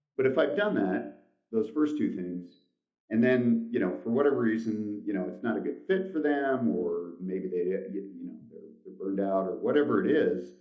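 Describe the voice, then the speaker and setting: Audible room echo surrounds a man speaking at a moderate pace, with big swings in loudness. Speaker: company CEO. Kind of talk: interview. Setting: shared office phone booth, video call. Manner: conversational, many fillers.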